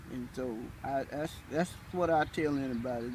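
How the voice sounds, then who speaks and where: The voice is a man's, somewhat breathy. He talks at a fairly slow pace. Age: 80s+. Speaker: elderly community resident interviewed about faith. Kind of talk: interview testimony. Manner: halting, repeats words.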